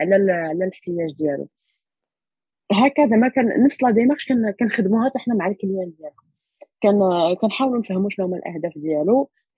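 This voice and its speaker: With lively intonation, a somewhat breathy woman moves along at a fairly quick pace. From Morocco, Rabat. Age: young. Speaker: social entrepreneur and doctoral researcher. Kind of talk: interview. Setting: remote recording.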